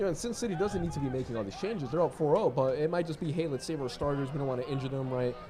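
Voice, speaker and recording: Talking at a very fast pace with hardly any pauses, a man uses lively intonation and a fairly high pitch over noticeable background noise. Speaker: soccer commentator. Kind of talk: live commentary. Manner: casual, conversational.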